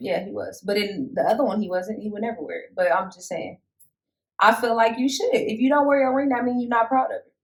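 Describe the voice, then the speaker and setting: Speaking very fast in an animated tone, a woman with a fairly high pitch shows ordinary pitch variation and big swings in loudness. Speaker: podcast co-host. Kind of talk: casual chat.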